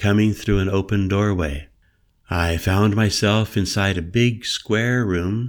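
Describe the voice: The speaker is heard in plain reading aloud. The text is read that way from start to finish.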